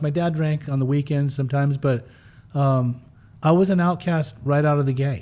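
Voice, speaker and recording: Speaking with a Western US accent, a man has a fairly high pitch and a dark, mellow tone. His intonation is fairly even, at a moderate pace. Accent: American (Western US). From Utah, US (from age 5), born in Germany. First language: German. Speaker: person in addiction recovery, recovery mentor. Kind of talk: interview, personal life story. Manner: casual, uses many fillers.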